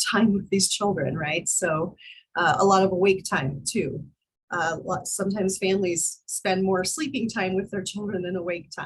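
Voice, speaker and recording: Her voice comes across as somewhat breathy. The woman keeps a moderate pace. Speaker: college instructor. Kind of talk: online class lecture.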